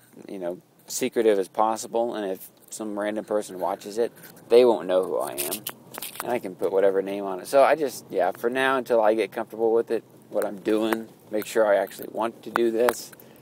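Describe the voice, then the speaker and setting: There is noticeable background noise as a man talks at a fairly quick pace. His intonation stays fairly even. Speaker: vlogger. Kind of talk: casual vlog while driving. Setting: in a car. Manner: flat intonation, sounds mad; hesitant, filler-heavy.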